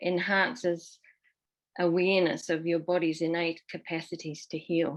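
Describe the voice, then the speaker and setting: Speaking at a fairly slow pace, a woman with a fairly low pitch keeps her intonation fairly even. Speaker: somatic practitioner in addiction recovery. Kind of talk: panel discussion. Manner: halting, many fillers.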